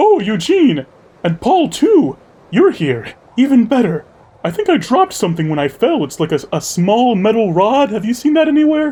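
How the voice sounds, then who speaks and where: A man's put-on character voice, extremely high in pitch, with very wide pitch swings. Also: moderate pace. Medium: actual play. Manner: overly friendly, exclamatory.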